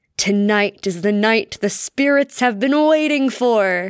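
In a put-on character voice, a female-sounding speaker uses a fairly high pitch at a fairly slow pace. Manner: menacing.

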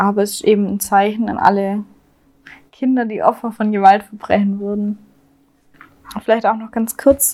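A woman speaks with a Swabian accent at a fairly high pitch and a moderate pace, her tone dark and mellow. Her loudness swings a lot, and she leaves long, frequent pauses. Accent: Swabian dialect, slight to moderate. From Swabia, southwest Germany. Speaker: true crime podcast co-host. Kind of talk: casual true crime storytelling. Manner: hesitant, many fillers.

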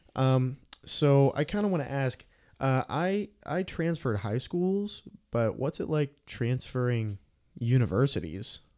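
An ordinary speaking voice from a man, medium in pitch, with lively intonation, a fairly slow pace, and a very clean recording over a silent background. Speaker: college radio podcast host and student. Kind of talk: casual interview. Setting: studio.

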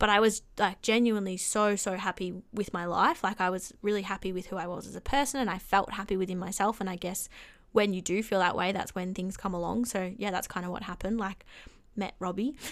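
Speaking with an Australian accent, a woman uses a medium pitch and fairly even intonation. She talks at a fairly quick pace on a very clean recording with a silent background. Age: 20s. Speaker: swim coach and teaching student. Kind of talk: casual chat.

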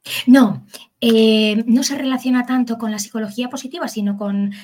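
Speaking in a normal speaking voice, a woman keeps a moderate pace and a fairly high pitch, with ordinary pitch variation. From Basque Country, Spain (Bilbao). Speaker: psychologist and educator. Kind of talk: expert interview.

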